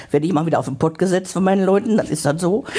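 The voice is a woman's. It sits at a medium pitch. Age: 70s. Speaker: hospice patient. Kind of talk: interview.

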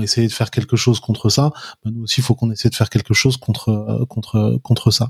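A man speaks at a fairly quick pace in a medium pitch, his somewhat breathy voice monotone and flat, on a very clean recording with a silent background. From France, Paris. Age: 40s. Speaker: activist and former finance professional. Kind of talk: interview.

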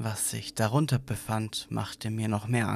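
Natural reading voice, nothing more.

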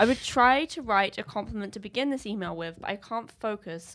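A plain, everyday voice moves at a moderate pace with ordinary pitch variation. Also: woman. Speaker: social media creator. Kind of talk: casual chat.

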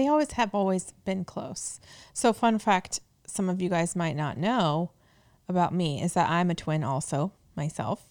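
In a very clean recording with a silent background, a woman with a fairly low pitch speaks at a moderate pace in an animated tone with lively intonation. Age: 30s. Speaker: podcast co-host, wife and mother. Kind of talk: casual chat. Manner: animated, laughing often.

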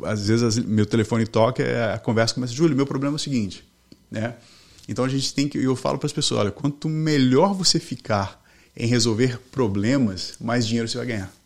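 A man's medium-pitched voice moves fairly quickly, rising and falling with ordinary pitch variation. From Brazil, Belo Horizonte (Minas Gerais), then Boston from age 13. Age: 40s. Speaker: mortgage team leader. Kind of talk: interview conversation. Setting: studio.

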